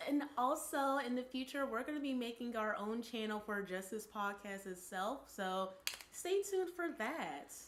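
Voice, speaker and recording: A woman speaks at a moderate pace with very wide pitch swings. Noticeable background noise can be heard. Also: fairly high pitch for a woman. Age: 20s. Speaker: podcast co-host. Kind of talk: casual chat. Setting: live stream.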